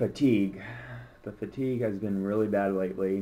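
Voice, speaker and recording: A man's dark, mellow voice with fairly even intonation at a fairly quick pace. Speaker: vlogger with multiple sclerosis. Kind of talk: personal video diary. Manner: slurred speech.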